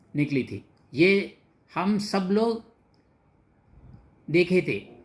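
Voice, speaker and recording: A man with a high pitch and ordinary pitch variation speaks in a very clean recording with a silent background. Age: 70s. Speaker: retired officer, devotee. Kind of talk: testimony.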